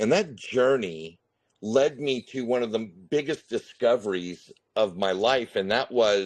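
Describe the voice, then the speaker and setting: A man with a Californian accent speaks at a fairly slow pace. His medium pitch carries lively intonation. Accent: General American (Californian). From US West (Northern California). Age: 50s. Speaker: retired contractor, crypto YouTuber. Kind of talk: interview.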